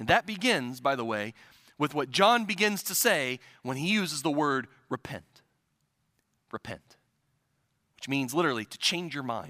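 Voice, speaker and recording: With a Midwestern US accent, the voice has a bright, sharp tone, very wide pitch swings and big swings in loudness at a moderate pace, broken by long, frequent pauses. The sound is dry and close with no echo, on a very clean recording with a silent background. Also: man, fairly high pitch for a man. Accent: Midwestern US, general American. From US Midwest. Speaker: preacher. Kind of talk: sermon. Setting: church. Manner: hesitant, with frequent fillers.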